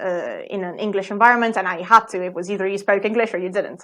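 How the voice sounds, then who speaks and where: A woman speaks with an Italian accent. Her medium pitch stays monotone and flat. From Italy. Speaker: plant biologist and ballet dancer. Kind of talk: interview conversation.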